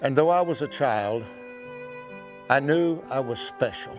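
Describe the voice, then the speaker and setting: Music plays in the background as a man speaks with a Western American accent. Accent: Western American drawl. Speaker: cowboy poet. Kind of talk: poetry reading.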